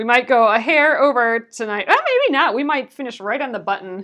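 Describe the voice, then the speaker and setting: Over a quiet background, a woman mumbles at a moderate pace in a high pitch, with a bright, sharp tone and lively intonation. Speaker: craft livestream host. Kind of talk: casual crafting livestream chat. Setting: livestream video. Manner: mumbling.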